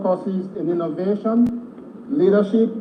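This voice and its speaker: Audible room echo and noticeable background noise surround a man speaking at a moderate pace with a high pitch. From Nigeria, Lagos and Ogun State. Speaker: ministerial nominee. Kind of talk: formal prepared statement at a hearing. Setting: legislative chamber. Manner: formal.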